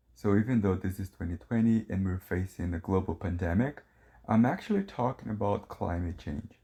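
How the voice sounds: Low-pitched and dark, mellow in tone, a man speaks at a moderate pace with lively intonation.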